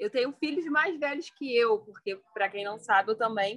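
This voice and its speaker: A woman speaks with a plain, everyday voice at a fairly high pitch. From Brazil, Petrópolis (Rio de Janeiro state). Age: 20s. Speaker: law student and mother. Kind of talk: casual chat.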